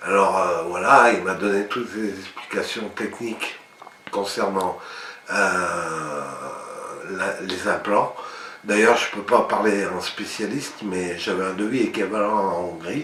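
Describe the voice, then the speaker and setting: With noticeable background noise behind him, a man with a fairly low pitch speaks at a very slow pace in fairly even intonation, leaving long, frequent pauses. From France. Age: 60s. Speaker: dental patient. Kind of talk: patient testimonial.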